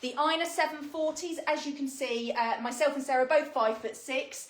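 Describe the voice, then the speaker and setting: A woman with a British accent speaks with ordinary pitch variation. The recording has audible room echo and noticeable background noise. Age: 30s. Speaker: fashion retailer presenter. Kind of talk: product presentation. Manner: casual, with many fillers.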